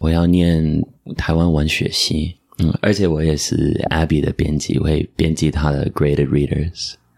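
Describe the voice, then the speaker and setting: In a Taiwanese accent, a man speaks at a fairly slow pace with a very deep, low pitch, monotone, flat intonation and very even loudness, the sound dry and close with no echo. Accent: near-native Taiwanese Mandarin. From US (Michigan, then New Jersey), Indian-American family. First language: English (speaking Chinese). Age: 20s. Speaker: podcast guest, Chinese learner and editor. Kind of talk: casual chat.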